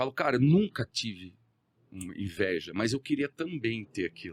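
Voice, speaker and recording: A man talks at a moderate pace and medium pitch, with very wide pitch swings. The sound is dry and close, with no echo. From Brazil, countryside (interior). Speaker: entrepreneur. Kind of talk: podcast interview.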